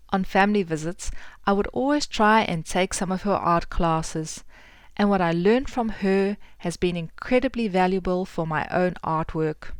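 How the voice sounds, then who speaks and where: This woman has a South African accent and a medium pitch with ordinary variation. She talks at a moderate pace on a very clean recording with a silent background. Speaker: podcast host and artist. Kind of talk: podcast intro and interview.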